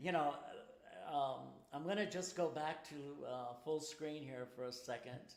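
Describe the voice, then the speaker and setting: A man with a fairly high voice speaks at a moderate pace with ordinary pitch variation. He leaves long, frequent pauses, and audible room echo can be heard. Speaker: singer launching a crowdfunding campaign. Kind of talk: live stream chat. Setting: home studio live broadcast.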